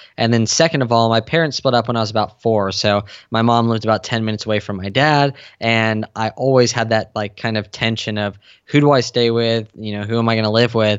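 A medium-pitched man talks at a very fast pace with an American accent. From San Diego, California. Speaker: fitness coach and entrepreneur. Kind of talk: interview. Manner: animated.

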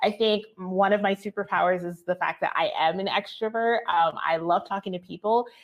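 A woman speaks at a moderate pace with an American accent, her medium-pitched, ordinary speaking voice keeping a fairly even intonation with hardly any pauses. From New Jersey. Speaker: agency owner and business coach. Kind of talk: casual interview chat.

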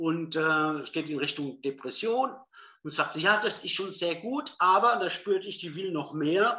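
A man speaks in a high pitch with a bright, sharp tone. His intonation is lively and his pace moderate. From southern Hesse, Germany. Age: 50s. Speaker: former business executive training as psychotherapy practitioner. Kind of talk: interview.

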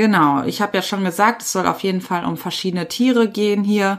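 A woman's medium-pitched, unremarkable speaking voice, fairly even in intonation, on a very clean recording with a silent background. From Ruhr area, Germany. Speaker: podcast host, trainee animal physiotherapist. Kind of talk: solo educational podcast.

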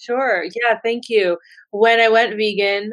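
A woman is speaking. The background is quiet. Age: 40s. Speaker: writer and animal rights activist. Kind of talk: interview.

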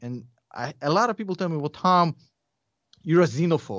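A man speaks with a Russian accent. His intonation is lively. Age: 30s. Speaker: investing YouTuber. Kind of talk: casual chat.

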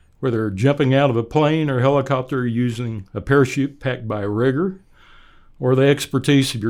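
A man with an American accent speaks in an ordinary speaking voice at a moderate pace and medium pitch, with ordinary pitch variation, on a very clean recording with a silent background. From Oklahoma, US. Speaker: church elder, retired executive, army veteran. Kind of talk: interview.

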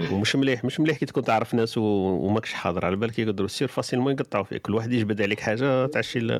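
Over noticeable background noise, speech races at a very fast pace with hardly any pauses, very even loudness and ordinary pitch variation. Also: man, medium pitch for a man. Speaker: online radio host. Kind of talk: live call-in talk show. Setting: live online studio broadcast.

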